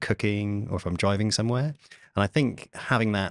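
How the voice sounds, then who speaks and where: A man talks fairly quickly with ordinary pitch variation, his voice dry with no echo against a quiet background. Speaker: podcast host. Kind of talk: interview answer. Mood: enthusiastic, friendly. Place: studio. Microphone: studio mic.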